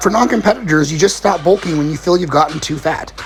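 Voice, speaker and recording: Very fast male speech, fairly high in pitch, with ordinary variation in its pitch. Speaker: fitness coach. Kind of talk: Q&A video answering viewer questions. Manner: casual.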